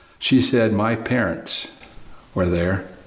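Speech moves at a very slow pace. Room echo can be heard. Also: man. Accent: Oklahoma. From Oklahoma. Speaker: preacher. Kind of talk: sermon. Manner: animated.

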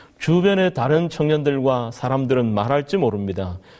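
The recording is very clean, with a silent background. A man with a medium pitch and dark, mellow tone speaks at a moderate pace with lively intonation. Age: 40s. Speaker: pastor. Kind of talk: sermon.

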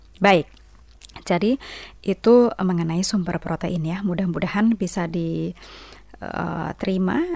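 A woman at a medium pitch talks at a very slow pace with fairly even intonation, leaving long, frequent pauses. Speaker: radio health program presenter. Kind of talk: educational talk on health. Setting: studio. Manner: explanatory, conversational.

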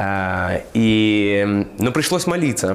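Noticeable background noise sits behind a man's voice. He has a medium pitch and lively intonation. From Moldova. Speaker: missionary. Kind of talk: interview testimony. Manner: halting.

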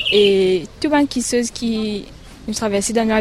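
A woman speaks at a fairly slow pace in a fairly high pitch, with noticeable background noise behind her. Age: young. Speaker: student. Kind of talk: radio interview.

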